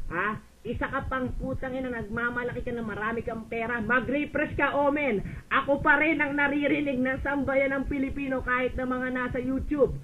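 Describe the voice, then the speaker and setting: Shouting in a raised, projected voice at a moderate pace, with audible room echo. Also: man. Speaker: voice chat room user. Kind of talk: heated argument. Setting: online voice chat room. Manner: loud.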